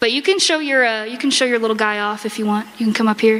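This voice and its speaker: A woman speaks at a moderate pace in a fairly high voice with ordinary pitch variation, with noticeable background noise behind her. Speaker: convention panel presenter and furry artist. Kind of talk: convention panel talk with audience Q&A. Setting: convention panel room with audience. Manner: loud; animated.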